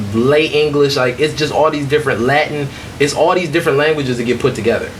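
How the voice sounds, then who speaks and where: This man has a Detroit accent and a fairly high pitch, with ordinary pitch variation at a fairly quick pace. Audible room echo and noticeable background noise come through. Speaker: podcast host. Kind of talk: casual chat.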